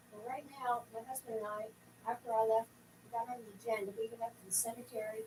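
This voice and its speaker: A woman with an American accent talks at a very fast pace in a fairly high pitch, her intonation monotone and flat while her loudness swings widely. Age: 60s. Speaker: resident speaking at town council. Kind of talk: public comment at council meeting. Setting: town council meeting.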